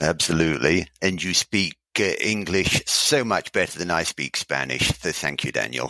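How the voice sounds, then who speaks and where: A man with a British accent speaks at a moderate pace in a very deep, low voice with vocal fry, lively intonation and a bright, sharp tone, recorded dry and close with no echo. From Britain. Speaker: author. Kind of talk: interview.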